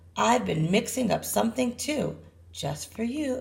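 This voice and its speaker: A woman puts on a raspy character voice at a fairly high pitch. She keeps a moderate pace. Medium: read story. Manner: warm, musing.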